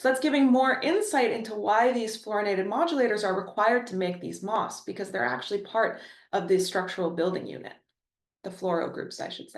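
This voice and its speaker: A woman with a Canadian accent, fairly high-pitched and lively in intonation, at a fairly quick pace amid audible room echo. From Ontario, Canada. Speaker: chemistry professor. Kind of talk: lecture. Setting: webinar.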